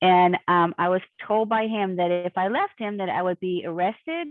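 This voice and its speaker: Fairly low-pitched for a woman, with a plain, everyday voice, she speaks at a moderate pace with fairly even intonation. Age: 60s. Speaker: abuse survivor. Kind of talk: interview.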